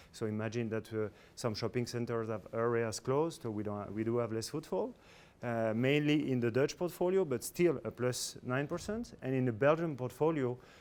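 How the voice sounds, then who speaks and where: On a very clean recording with a silent background, a man with a French accent speaks at a medium pitch and a moderate pace with ordinary pitch variation. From France. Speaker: corporate executive. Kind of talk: business presentation. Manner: halting, many fillers.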